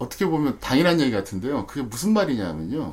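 A man speaks at a medium pitch that swings very widely. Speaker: stock market expert. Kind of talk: podcast discussion.

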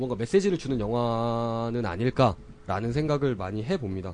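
A man talks at a moderate pace. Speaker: podcast host. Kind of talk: casual chat.

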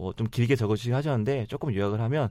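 Talking at a medium pitch with ordinary pitch variation, a man speaks very fast. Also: very clean recording, silent background. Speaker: podcast host. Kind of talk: casual chat. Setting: studio.

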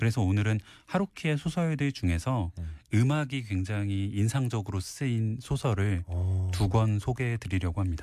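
A man's fairly low, dark and mellow voice at a moderate pace, lively in intonation, on a very clean recording with a silent background. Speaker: book columnist. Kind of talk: casual chat. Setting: studio.

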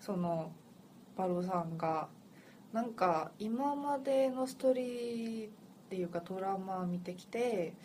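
A woman's medium-pitched voice with a Korean accent, lively intonation and a very slow pace, amid audible room echo and noticeable background noise. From Seoul, South Korea. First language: Korean (speaking Japanese). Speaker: podcast co-host. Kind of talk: casual chat.

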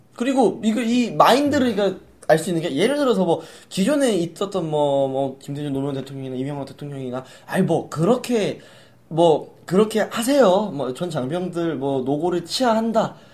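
Delivered at a moderate pace, the voice sounds animated, with very wide pitch swings, on a very clean recording with a silent background. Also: man, high pitch for a man. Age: 20s. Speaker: podcast host. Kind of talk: casual chat.

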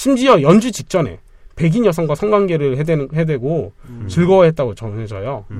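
Pitch swings very widely in this man's fairly high voice. He talks at a fairly quick pace. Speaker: podcast co-host. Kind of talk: casual chat. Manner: fast talker.

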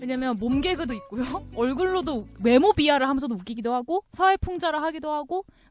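Her high-pitched voice has lively intonation, and this woman sounds dry and close with no echo. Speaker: podcast panelist. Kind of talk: casual chat.

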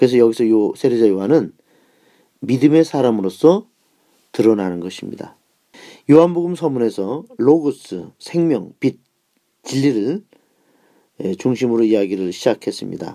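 This man's voice has a dark, mellow tone and a medium pitch, with lively intonation. He talks at a moderate pace, leaving long, frequent pauses. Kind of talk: lecture.

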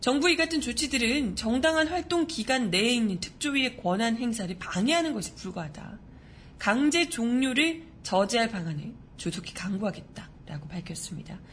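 Delivery runs at a moderate speed. Very wide swings mark the pitch. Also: woman. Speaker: news show host. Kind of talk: news commentary with casual talk. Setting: live-streamed studio broadcast. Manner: chatty, animated.

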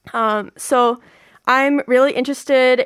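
A woman with an ordinary speaking voice and an American accent talks at a moderate pace with fairly even intonation, the sound dry and close with no echo. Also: very clean recording, silent background. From US, Virginia. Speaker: student and video creator intern. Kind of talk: radio interview, bilingual casual chat. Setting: radio studio.

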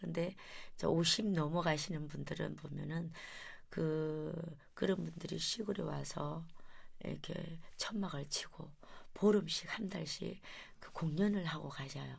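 Speaking at a very slow pace, a woman leaves long, frequent pauses and shows big swings in loudness. Audible room echo is present. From Gyeongju area, South Korea. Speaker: traditional vocal music performer. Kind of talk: interview.

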